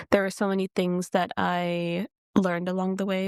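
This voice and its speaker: A woman speaks in a plain, everyday voice with an American accent, medium in pitch and moderate in pace. The sound is dry and close, with no echo. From US Midwest, Detroit, Michigan. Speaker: singer and dancer. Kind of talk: podcast interview.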